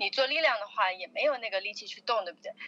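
A woman with lively intonation. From China, Chongqing. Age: 20s. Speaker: fitness enthusiast, bikini competitor. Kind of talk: interview.

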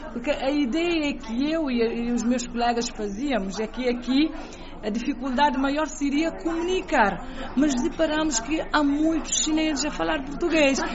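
This woman's voice is high-pitched with ordinary pitch variation, and she speaks fairly slowly. Background noise is noticeable, along with audible room echo. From Cape Verde, Fogo island. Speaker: presidential press officer. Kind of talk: radio interview.

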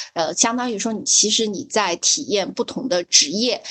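With a plain, everyday voice, a woman talks at a moderate pace and a fairly high pitch, with lively intonation. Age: young. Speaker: podcast co-host. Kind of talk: casual chat.

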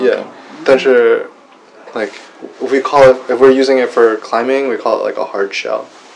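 Background noise is noticeable as a man talks at a fairly quick pace. He leaves long, frequent pauses. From Washington D.C., US. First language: English (speaking Chinese). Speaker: rock climber teaching climbing English. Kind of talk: casual bilingual chat. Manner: hesitant, mixes English and Chinese.

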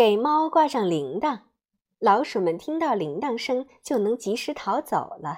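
A natural reading voice comes over a quiet background.

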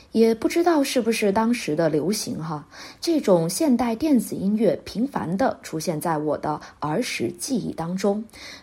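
Somewhat breathy and dark, mellow in tone, a woman speaks at a fairly slow pace with a fairly high pitch and very wide pitch swings. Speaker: music podcast host. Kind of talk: scripted narration.

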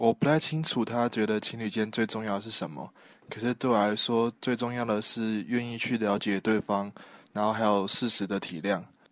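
This man has an ordinary speaking voice, pitched at a medium level, with fairly even intonation and a moderate pace. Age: 20s. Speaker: university student. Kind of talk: interview answers.

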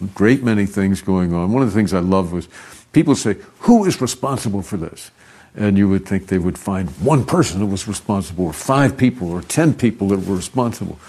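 Over a quiet background, a man with a fairly low pitch and a dark, mellow tone talks at a fairly quick pace with ordinary pitch variation. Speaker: investment adviser. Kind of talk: interview.

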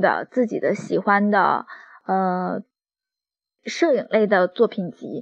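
Her pace is very slow. The woman's fairly high pitch shows ordinary pitch variation. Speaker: architect and drawing teacher hosting a podcast. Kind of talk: reading aloud an essay, then casual monologue. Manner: frequent filler hesitations.

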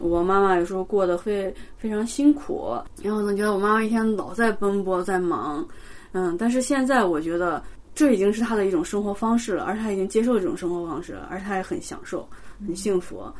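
A woman at a fairly quick pace with lively intonation, over noticeable background noise. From China, Xi'an. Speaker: postdoctoral chemistry researcher. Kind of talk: interview.

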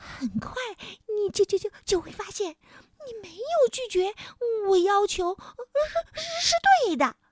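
Using a put-on character voice, a woman speaks at an extremely high pitch with big pitch swings and long, frequent pauses, in a dry, close sound with no echo. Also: fairly slow pace.

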